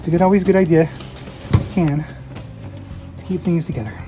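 A woman's very deep, low voice over faint music in the background. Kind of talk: casual tutorial narration while working. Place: workshop. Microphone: phone near.

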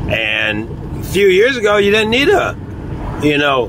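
Fairly slow speech with a dry sound and no echo, plus noticeable background noise. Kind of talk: casual vlog chat. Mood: annoyed, grumbling. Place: car. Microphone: phone near.

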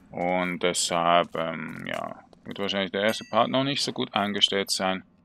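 A man with a very deep, low pitch speaks at a fairly slow pace in a bright, sharp tone. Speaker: gaming YouTuber. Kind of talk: Let's Play commentary. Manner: hesitant, many filler sounds.

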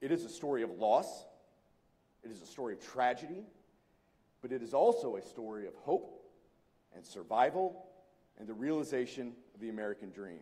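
A man speaks with a dark, mellow tone and lively intonation. His loudness swings widely, with long, frequent pauses. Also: fairly quick pace. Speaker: former program director moderating the interview. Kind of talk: onstage interview and Q&A moderation. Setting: stage with audience. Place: hall.

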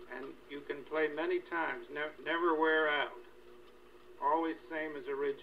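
A man talks at a moderate pace. There is light background noise. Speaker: owner of the wire recorder, enthusiast explaining the technology. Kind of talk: casual explanation in conversation. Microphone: old recording.

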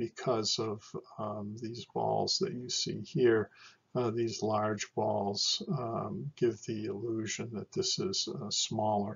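A man at a very slow pace, somewhat breathy, with ordinary pitch variation. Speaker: lecturer. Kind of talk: lecture. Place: home room. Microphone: webcam.

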